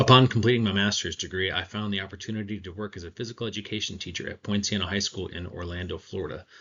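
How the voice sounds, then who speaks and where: A man with an American accent talks very fast with hardly any pauses, at a fairly low pitch. His intonation stays fairly even while his loudness swings widely. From Michigan. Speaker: teacher and graduate applicant. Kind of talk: video self-introduction.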